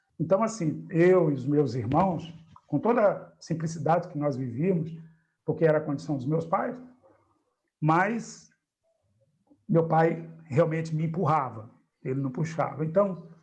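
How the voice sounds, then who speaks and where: In a room with audible echo, a man with a fairly high voice speaks with ordinary pitch variation and long, frequent pauses. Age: 60s. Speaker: spiritist study group leader. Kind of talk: group discussion.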